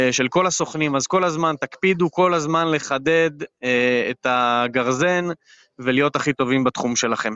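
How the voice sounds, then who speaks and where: A man's fairly high voice at a fairly slow pace. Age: 30s. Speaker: real estate agent. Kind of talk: interview. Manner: hesitant, many fillers.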